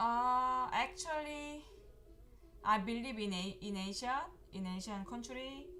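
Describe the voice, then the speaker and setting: With a Korean accent, a woman talks very slowly in a high pitch with lively intonation and long, frequent pauses, against noticeable background noise and audible room echo. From South Korea. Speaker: professional Go player and teacher. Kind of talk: live game commentary. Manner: halting.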